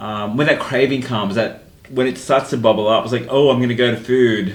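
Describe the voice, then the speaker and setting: An Australian-accented man at a medium pitch, fairly quick and fairly even in intonation, with noticeable background noise and audible room echo. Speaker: podcast host. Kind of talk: casual chat.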